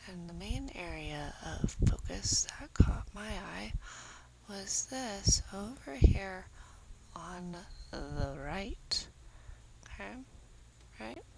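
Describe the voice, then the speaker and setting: The soft-spoken voice moves at a very slow pace, with long, frequent pauses. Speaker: true crime commentator. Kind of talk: casual commentary on crime footage.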